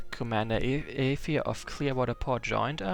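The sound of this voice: Just an unforced reading voice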